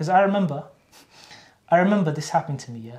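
With a Cardiff accent, a man of high pitch speaks at a very fast pace with ordinary pitch variation. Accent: Cardiff Welsh English. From Wales, Cardiff. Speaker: Islamic university graduate. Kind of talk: casual interview. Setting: college library.

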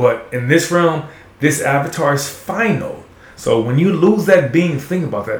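With an American accent, the speaker has an animated tone and lively intonation at a moderate pace, amid noticeable background noise and audible room echo. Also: man. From Texas, Houston. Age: 40s. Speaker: guest. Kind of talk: casual chat.

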